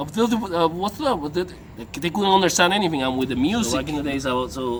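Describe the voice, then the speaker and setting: The man's tone is animated and his pace fairly quick. Background noise is noticeable. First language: Spanish. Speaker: dating coach. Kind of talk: casual vlog monologue.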